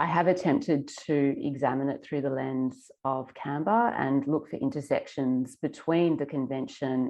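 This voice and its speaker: Hardly any pauses break the moderate-paced speech, whose pitch varies in an ordinary way. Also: woman. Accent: Australian. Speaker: environmental lawyer. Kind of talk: conference presentation.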